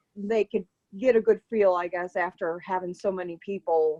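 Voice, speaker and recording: A woman's fairly low-pitched voice at a moderate pace, an ordinary speaking voice, dry and close with no echo. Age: 40s. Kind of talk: testimony.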